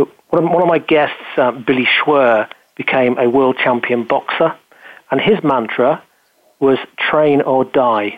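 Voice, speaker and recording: A man with a British accent speaks at a medium pitch with ordinary variation. His pace is fairly slow, broken by long, frequent pauses. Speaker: business show host and speaker. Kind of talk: casual interview chat.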